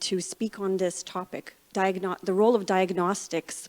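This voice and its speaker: A woman of medium pitch speaks at a moderate pace. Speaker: medical science liaison and microbiologist. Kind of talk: conference talk.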